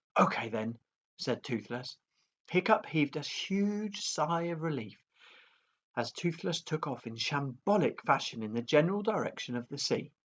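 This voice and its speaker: Soft-spoken, a man talks at a fairly slow pace with very wide pitch swings. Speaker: primary school teacher. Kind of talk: reading aloud. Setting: at home.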